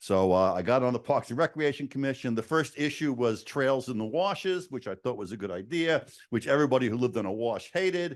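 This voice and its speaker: Against a quiet background, a man in a New York accent rattles along at a very fast pace with hardly any pauses, medium pitch and lively intonation. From New York City. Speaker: state senator. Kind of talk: speech to town council. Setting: council chamber podium. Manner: frequent hesitations.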